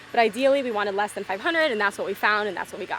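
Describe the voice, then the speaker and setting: Noticeable background noise runs behind a woman's speech. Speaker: fishing vlogger. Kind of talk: casual chat.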